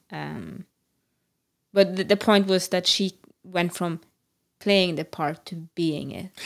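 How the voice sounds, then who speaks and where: The speech moves at a very slow pace with long, frequent pauses, big swings in loudness and fairly even intonation. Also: woman, medium pitch for a woman. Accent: Norwegian. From Norway. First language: Norwegian. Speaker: podcast co-host. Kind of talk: casual chat.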